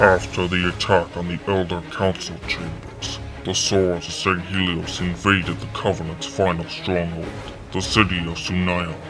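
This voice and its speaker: A man's put-on character voice, very deep and low in pitch, at a moderate pace over loud music in the background. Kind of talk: lore history narration. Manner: formal, solemn.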